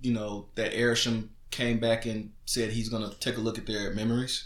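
A man's bright, sharp tone at a moderate pace, with audible room echo. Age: 30s. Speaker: podcast co-host, father. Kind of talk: casual chat.

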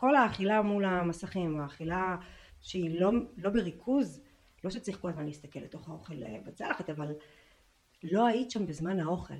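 At a moderate pace, a woman speaks at medium pitch with ordinary pitch variation, big swings in loudness and long, frequent pauses. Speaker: podcast host and weight-loss coach. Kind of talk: scripted narration; casual interview.

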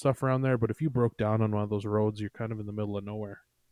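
A man speaks at a very fast pace. The sound is dry and close with no echo, over a quiet background. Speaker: podcast guest. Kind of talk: casual chat.

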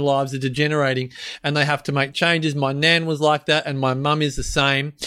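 This man talks at a fairly quick pace in an animated tone. His tone is bright and sharp. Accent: Australian. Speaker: podcast host. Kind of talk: casual interview chat. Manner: animated, jokey.

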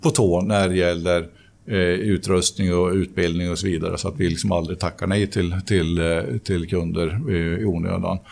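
This man's pitch is very deep and low, and his intonation fairly even. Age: 50s. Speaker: company CEO. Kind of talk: interview. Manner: halting.

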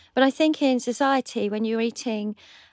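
An unremarkable speaking voice goes at a fairly quick pace, captured dry and close with no echo on a very clean recording with a silent background. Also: woman. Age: 50s. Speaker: cookery competition winner. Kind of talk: casual chat. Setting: studio.

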